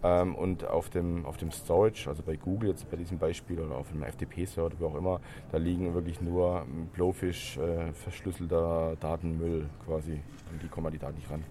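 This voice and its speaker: A man with a very deep, low pitch and a dark, mellow tone talks at a moderate pace with fairly even intonation. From Stuttgart, Germany. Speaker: open source software founder. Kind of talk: interview. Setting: trade fair.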